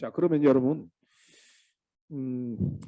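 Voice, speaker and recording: On a very clean recording with a silent background, a man with a dark, mellow tone speaks at a fairly slow pace. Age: 60s. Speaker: vocational school lecturer. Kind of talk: lecture.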